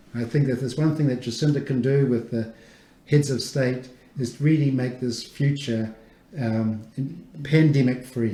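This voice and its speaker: Audible room echo surrounds a man speaking at a medium pitch and moderate pace with fairly even intonation. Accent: New Zealand. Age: 60s. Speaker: immunologist, research institute director. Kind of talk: radio interview. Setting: radio studio.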